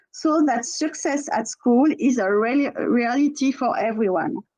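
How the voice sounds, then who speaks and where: With a French accent, a woman speaks fairly slowly in a high pitch, using lively intonation and a dark, mellow tone. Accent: French accent, musical. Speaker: teachers' union representative. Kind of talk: prepared speech at webinar. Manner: halting, with self-corrections.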